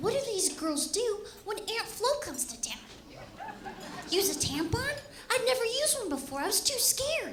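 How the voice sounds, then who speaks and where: Her pitch swings very widely as she speaks at a moderate pace. The room echo is audible. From Los Angeles, California. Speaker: comedian. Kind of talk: stand-up. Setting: stage with audience.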